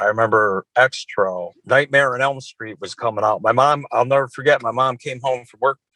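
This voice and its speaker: The dry, close sound with no echo carries speech in an American accent at a moderate pace over a quiet background. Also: man. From US Midwest (Wisconsin, northern Illinois). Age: 50s. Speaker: death metal guitarist and horror novelist. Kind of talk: casual chat. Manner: animated.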